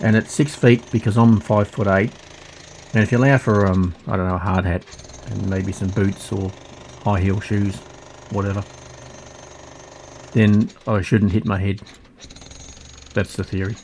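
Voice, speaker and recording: A man with an Australian accent talks in a fairly low voice at a moderate pace, with long, frequent pauses. Noticeable background noise is present. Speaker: hobbyist digger, video creator. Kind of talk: casual vlog talk. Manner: slightly slurred, hard to understand; halting.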